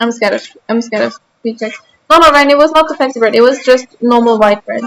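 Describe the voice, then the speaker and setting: With a slight German accent, a woman talks very fast at a high pitch with ordinary pitch variation. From Austria. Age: 20s. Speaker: streamer. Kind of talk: casual chat. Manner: animated.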